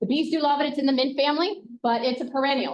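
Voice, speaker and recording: In an American accent, a woman speaks loudly at a very fast pace. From New Jersey, Ocean County shore. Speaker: county master gardener coordinator. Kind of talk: class presentation.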